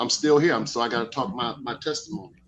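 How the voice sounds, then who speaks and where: A man's bright, sharp voice at a fairly quick pace with ordinary pitch variation. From Miami, Florida (Liberty City). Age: 60s. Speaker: speaker at a Moorish study gathering. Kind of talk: casual testimony. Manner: animated, excitable.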